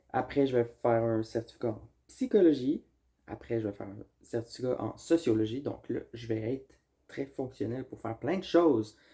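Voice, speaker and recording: With a Quebec accent, a man speaks at a moderate pace and medium pitch in a dark, mellow, somewhat breathy tone, with ordinary pitch variation and big swings in loudness. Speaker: vlogger. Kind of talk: casual chat.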